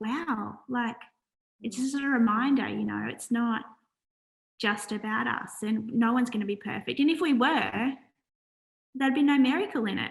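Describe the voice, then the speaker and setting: A woman with an Australian accent, fairly high in pitch with ordinary pitch variation, at a moderate pace broken by long, frequent pauses. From Australia, Wollongong NSW. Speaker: charity founder. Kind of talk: interview.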